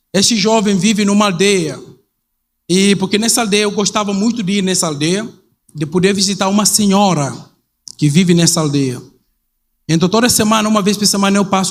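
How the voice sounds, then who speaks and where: This man talks very fast, with a high pitch and ordinary pitch variation. He leaves long, frequent pauses, and room echo is audible. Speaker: missionary pastor. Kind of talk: sermon. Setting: church. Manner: halting.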